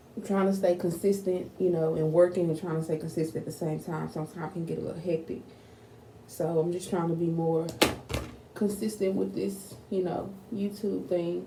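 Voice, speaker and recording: A woman with a fairly low pitch speaks at a fairly quick pace and with fairly even intonation, amid noticeable background noise and audible room echo. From Texas, Fort Worth. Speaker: YouTuber. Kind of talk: casual vlog talk to camera.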